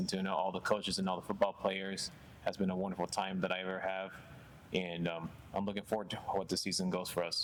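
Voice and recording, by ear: A man speaks low and fairly quickly, with little pitch movement. His tone is fairly bright.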